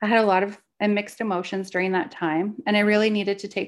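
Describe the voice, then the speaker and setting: A woman's plain, everyday voice with a Canadian accent, fairly quick and fairly even in intonation, over a quiet background. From Canada. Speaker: podcast co-host, spiritual mentor and psychic medium. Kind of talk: personal storytelling.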